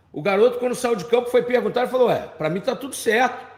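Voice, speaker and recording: A man speaks at a fairly quick pace with an animated tone and an extremely high pitch. Room echo is audible. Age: 60s. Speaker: football pundit. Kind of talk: live commentary.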